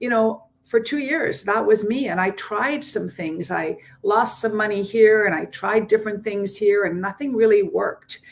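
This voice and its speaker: In a normal speaking voice, a woman with a Canadian accent talks at a moderate pace with hardly any pauses, a fairly high pitch and ordinary pitch variation. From Ontario, Canada. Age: 60s. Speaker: entrepreneur. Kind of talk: panel testimony.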